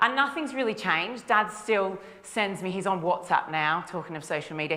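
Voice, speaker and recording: In an Australian accent, a woman speaks at a fairly quick pace with audible room echo. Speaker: nutritionist. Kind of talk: conference talk. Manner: casual, with frequent fillers.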